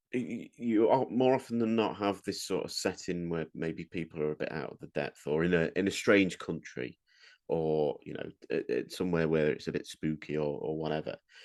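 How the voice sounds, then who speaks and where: A man with an English accent talks at a fairly quick pace in a very deep, low voice with lively intonation. The sound is dry and close with no echo, over a quiet background. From England. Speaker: podcast co-host. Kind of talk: casual chat. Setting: podcast recording.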